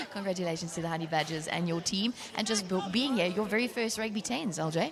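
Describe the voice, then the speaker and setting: A woman talks at a very fast pace in a medium pitch with ordinary pitch variation and very even loudness. Noticeable background noise and audible room echo fill the recording. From South Africa. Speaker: rugby commentator. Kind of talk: live sports broadcast sign-off. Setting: outdoor stadium.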